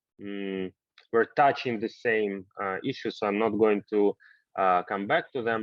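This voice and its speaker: Here is a normal speaking voice moving at a moderate pace. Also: man. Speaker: university rector, lecture host. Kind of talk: online lecture moderation.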